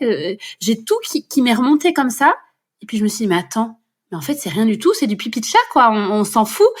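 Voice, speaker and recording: At a moderate pace, a somewhat breathy voice speaks with lively intonation on a very clean recording with a silent background. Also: woman, fairly high pitch for a woman. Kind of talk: podcast interview answer. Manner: natural, fluent, upbeat.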